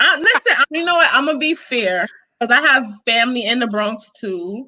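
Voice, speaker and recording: Speaking with a strong New York accent, a woman uses a bright, sharp, animated tone with ordinary pitch variation. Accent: New York accent, thick. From New York, Brooklyn (Flatbush). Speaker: YouTube reviewer and live-stream host. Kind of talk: casual live-stream chat.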